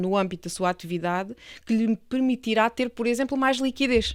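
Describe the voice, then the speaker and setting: In an Alentejo accent, a woman speaks at a moderate pace and a fairly high pitch, with a dry, close sound with no echo on a very clean recording with a silent background. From Portugal, Alentejo. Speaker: real estate lawyer. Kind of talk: interview podcast.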